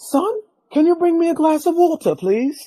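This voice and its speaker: A high-pitched, put-on character voice runs at a moderate pace. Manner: polite request.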